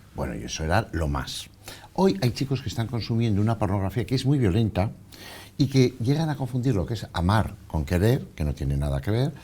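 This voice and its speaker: Very wide pitch swings and vocal fry mark a man's fairly low, dark, mellow voice at a fairly quick pace. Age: 60s. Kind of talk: TV interview.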